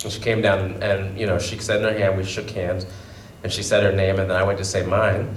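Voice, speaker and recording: A man talks at a very fast pace in a fairly low pitch with monotone, flat intonation. Audible room echo and noticeable background noise fill the recording. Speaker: panelist, person who stutters. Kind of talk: panel discussion. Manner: stutters.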